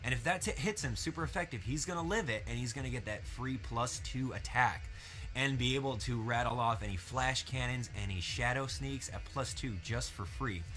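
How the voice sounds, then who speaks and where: Music can be heard in the background. Over it, a man talks at a moderate pace. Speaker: Pokemon commentator (audition). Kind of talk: live game commentary, esports-style. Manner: energetic, enthusiastic.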